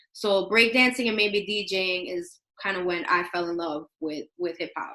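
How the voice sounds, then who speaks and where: A woman is speaking at a medium pitch. Her pace is moderate. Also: ordinary pitch variation. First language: Spanish. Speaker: teacher. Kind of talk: classroom presentation. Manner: casual, conversational.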